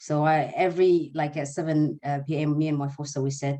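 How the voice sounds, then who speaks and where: In an Arabic accent, the speaker talks at a fairly quick pace against a quiet background. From Sudan (Eritrean family). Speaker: nursing student, former refugee. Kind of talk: webinar interview. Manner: halting.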